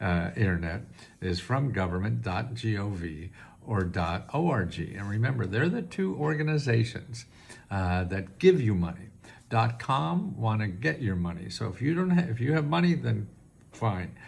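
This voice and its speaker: A somewhat breathy man speaks at a moderate pace with very wide pitch swings, and audible room echo surrounds his voice. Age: 80s+. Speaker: government benefits advisor. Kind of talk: tutorial. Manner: halting.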